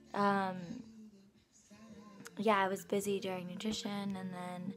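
Clear background music behind a woman's fairly slow speech. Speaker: student vlogger. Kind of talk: casual vlog chat. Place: home room. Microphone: phone near.

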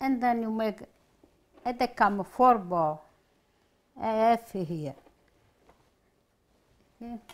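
A woman with a fairly high pitch and lively intonation speaks at a very slow pace, pausing long and often, with big swings in loudness. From Italy. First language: Italian. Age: 80s+. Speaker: home cook. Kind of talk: cooking demonstration. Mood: warm, cheerful. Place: kitchen.

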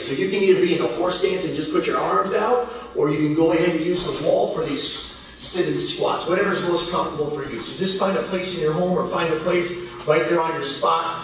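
With strong room echo, a man talks at a fairly quick pace with ordinary pitch variation.

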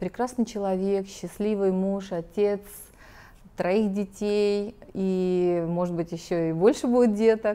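With a dark, mellow tone, a woman speaks at a very slow pace and with fairly even intonation. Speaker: TV host. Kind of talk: interview. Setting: studio. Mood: warm, welcoming. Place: studio.

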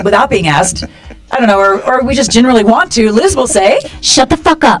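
Faint music plays in the background as a woman speaks. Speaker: talk show host. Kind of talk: casual talk show hosting chat. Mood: playful, laughing. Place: studio.

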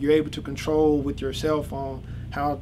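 A man speaks at a moderate pace with noticeable background noise. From US South, Georgia. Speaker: electrical engineer, PhD student. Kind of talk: interview. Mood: relaxed, friendly. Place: office. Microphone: camera far.

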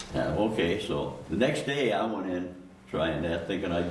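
With an American accent, a man speaks at a moderate pace in a very deep, low pitch, with noticeable background noise and audible room echo. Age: 80s+. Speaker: public commenter at city council meeting. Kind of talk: public comment testimony. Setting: city council meeting. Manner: halting.

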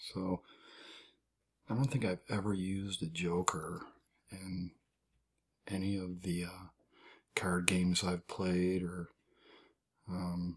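Soft-spoken and relaxed, the voice moves at a very slow pace. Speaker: amateur magician. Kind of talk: soft-spoken ASMR card trick demonstration, casual talk to camera. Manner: soft-spoken, relaxed.

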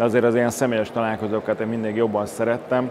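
The voice of a man at a medium pitch comes with monotone, flat intonation. Background noise is noticeable. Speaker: oral surgeon. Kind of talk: interview. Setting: at a congress venue. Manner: hesitant, with fillers.

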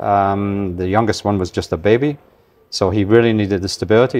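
A man with a Scottish accent speaks at a fairly quick pace. His pitch is fairly low. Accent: mild Scottish. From Scotland. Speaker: magazine publisher. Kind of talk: interview.

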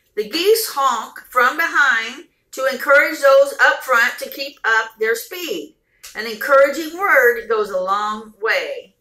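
Amid audible room echo, a woman projects a raised voice with a bright, sharp tone at a very slow pace. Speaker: vlogger. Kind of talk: reading a story aloud. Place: home room. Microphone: phone near.

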